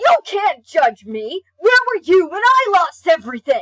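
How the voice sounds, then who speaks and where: A shouting, cartoonish character voice at an extremely high pitch swings very widely in pitch at a moderate pace. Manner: angry, shouting.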